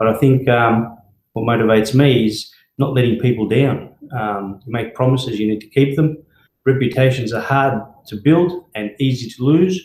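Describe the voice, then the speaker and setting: Somewhat breathy and medium in pitch, a man speaks with an Australian accent at a moderate pace and ordinary pitch variation. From Melbourne, Australia (from Greece at ten). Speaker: company director and brand ambassador. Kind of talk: live Q&A session. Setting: live video stream. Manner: hesitant, many fillers.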